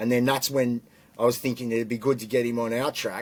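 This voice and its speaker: A man with an Australian accent, medium pitch, very fast pace and fairly even intonation. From Australia, Canberra. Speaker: rapper and producer. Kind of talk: casual chat.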